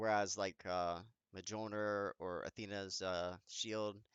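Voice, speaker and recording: Fairly low in pitch, a man speaks with fairly even intonation in a plain, everyday voice. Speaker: gaming youtuber. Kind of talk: tutorial. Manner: casual with many fillers.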